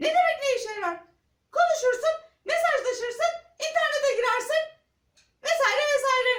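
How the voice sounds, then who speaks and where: A squeaky, cartoonish character voice, female-sounding, at an extremely high pitch with slight echo. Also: moderate pace. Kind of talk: children's puppet theatre. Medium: puppet show. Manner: gushing, exclamatory, sing-song.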